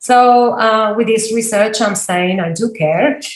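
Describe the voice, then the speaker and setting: Somewhat breathy speech in an Argentine accent with fairly even intonation. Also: woman. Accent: non-Australian, Argentine. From Argentina, Patagonia. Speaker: university lecturer. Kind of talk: interview.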